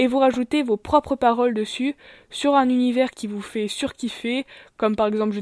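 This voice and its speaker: Moving at a fairly quick pace, the woman keeps her intonation fairly even. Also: very clean recording, silent background. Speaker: YouTuber. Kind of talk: channel presentation vlog. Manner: hesitant, many fillers.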